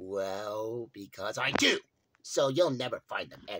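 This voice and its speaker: Using a put-on character voice, a man talks fairly slowly. His pitch is medium. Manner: menacing, mocking.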